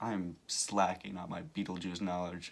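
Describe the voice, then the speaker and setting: Very deep, low male speech, monotone and flat in intonation. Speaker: commentary youtuber. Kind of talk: casual video commentary. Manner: hesitant, many fillers.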